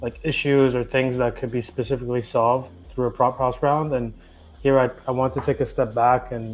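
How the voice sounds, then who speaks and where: A man talks at a moderate pace with a Canadian accent. His pitch is medium for a man and his intonation is flat and monotone, with music playing in the background. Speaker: community organizer leading a town hall. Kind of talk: online community meeting presentation. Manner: hesitant, many fillers.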